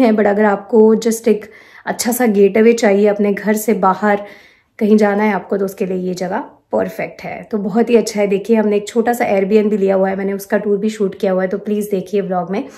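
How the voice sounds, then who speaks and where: A woman's dark, mellow voice, flat and monotone, at a moderate pace over a quiet background. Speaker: travel vlogger. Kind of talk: casual vlog chat. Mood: cheerful, relaxed. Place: home room. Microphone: phone near.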